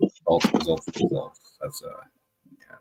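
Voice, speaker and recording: A man's voice, dry and close with no echo, over music in the background. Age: 40s. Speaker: livestream host. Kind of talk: casual chat.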